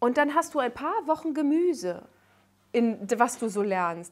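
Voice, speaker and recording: High-pitched woman at a fairly slow pace, with very wide pitch swings against a quiet background. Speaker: singer and comedian, guest. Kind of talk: casual talk show conversation. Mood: emotional, earnest storytelling. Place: studio.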